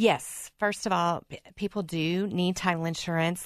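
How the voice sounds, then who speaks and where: With a Southern US accent, a woman talks at a moderate pace in a fairly low pitch and a monotone, flat intonation against a quiet background. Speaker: podcaster and title processor. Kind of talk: casual radio interview. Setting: studio.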